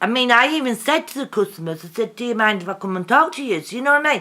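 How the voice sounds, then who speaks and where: Loud and bright with a sharp tone, the voice has lively intonation in a very clean recording with a silent background. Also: woman. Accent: English. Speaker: vlogger. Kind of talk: casual vlog monologue.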